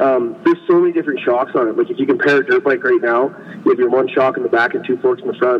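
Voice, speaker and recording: A man speaks at a very fast pace with a Western Canadian accent. Background noise is noticeable. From British Columbia, Canada. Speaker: snow bike racer. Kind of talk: interview. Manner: casual, laid-back.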